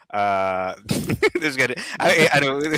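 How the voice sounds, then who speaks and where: A man speaks with an American accent and a bright, sharp tone. His pitch swings very widely. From Brooklyn, New York (Bed-Stuy). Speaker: comedian. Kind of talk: casual chat. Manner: halting.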